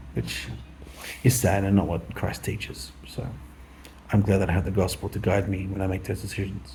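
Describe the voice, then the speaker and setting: A man mumbles at a moderate pace in a very deep, low voice. His intonation is lively, broken by long, frequent pauses. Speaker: vlogger. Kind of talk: casual monologue. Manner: mumbling.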